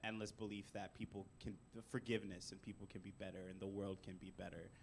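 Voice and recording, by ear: The voice is loud, with monotone, flat intonation and vocal fry. It moves at a fairly quick pace. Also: man.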